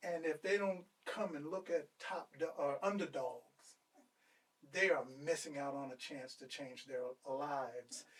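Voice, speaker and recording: Loudness swings widely as a man with an unremarkable speaking voice talks at a fairly slow pace, his fairly high pitch moving with ordinary variation. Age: 60s. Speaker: businessman and entrepreneur, former athlete. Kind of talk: interview.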